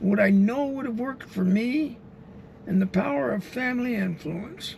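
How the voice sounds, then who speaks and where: There is noticeable background noise behind a man speaking at a high pitch. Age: 70s. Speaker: driver and street interviewer. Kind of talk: direct address to camera. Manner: halting.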